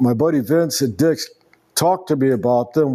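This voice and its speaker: This is a man with a plain, everyday voice. His pitch is medium, with ordinary pitch variation. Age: 60s. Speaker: golf video creator, retired truck driver. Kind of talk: casual golf vlog talk. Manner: casual, with many fillers.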